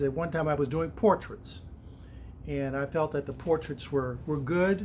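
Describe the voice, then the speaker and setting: At a moderate pace, a man with fairly high pitch talks in a plain, everyday voice. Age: 60s. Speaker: stained glass artist. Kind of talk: personal introduction monologue. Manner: casual, with frequent fillers.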